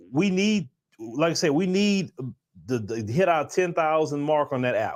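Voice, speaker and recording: A man with a Southern US accent talks at a fairly quick pace. The recording is very clean, with a silent background. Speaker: livestream show host. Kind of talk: casual livestream chat. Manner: casual, repetitive with false starts.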